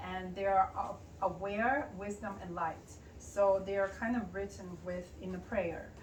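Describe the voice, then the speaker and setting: Someone with a Russian accent talks at a fairly slow pace with fairly even intonation, amid noticeable background noise and audible room echo. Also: woman, medium pitch for a woman. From Ukraine. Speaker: pianist and poet. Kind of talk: interview. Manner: halting.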